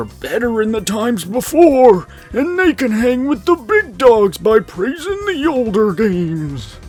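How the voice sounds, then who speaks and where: Over faint music in the background, a put-on character voice speaks at a fairly high pitch. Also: fairly slow pace. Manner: mocking.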